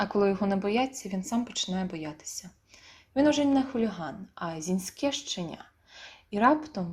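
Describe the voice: The text is read aloud plainly but with lively intonation.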